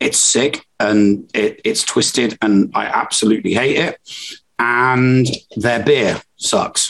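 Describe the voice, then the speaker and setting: At a very slow pace, a man of medium pitch keeps his loudness very even with ordinary pitch variation. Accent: Cockney. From England. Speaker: podcast co-host. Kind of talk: casual chat. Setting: live stream recording.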